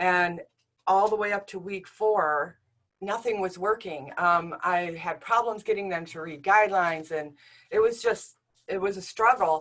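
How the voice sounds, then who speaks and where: A woman of medium pitch talks at a moderate pace, with ordinary pitch variation and big swings in loudness. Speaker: writing instructor. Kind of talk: academic talk. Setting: university talk with audience. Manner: hesitant, many fillers.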